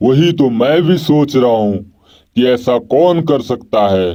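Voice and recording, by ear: Using a cartoonish character voice, a man speaks at a moderate pace and medium pitch.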